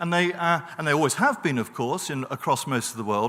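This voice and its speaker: Fairly high-pitched, this man has a bright, sharp tone and lively intonation. He moves at a fairly quick pace. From Britain. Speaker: professor on a peace studies panel. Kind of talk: panel talk. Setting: conference stage with audience.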